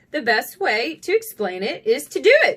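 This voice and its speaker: Delivered at a moderate pace, this put-on character voice has very wide pitch swings. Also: woman, extremely high pitch for a woman. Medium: read story.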